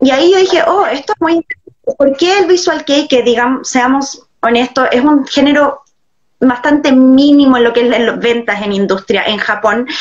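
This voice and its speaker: In a quiet background, a woman with a Chilean accent speaks at a moderate pace with a high pitch and very even loudness. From Viña del Mar, Chile. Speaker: invited researcher guest. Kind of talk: interview answer. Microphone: video call.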